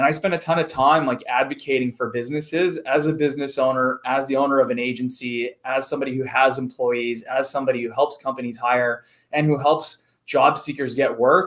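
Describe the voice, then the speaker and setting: At a fairly quick pace, a man talks with medium pitch and fairly even intonation. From Canada, Montreal. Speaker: recruitment firm owner. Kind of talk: casual interview chat.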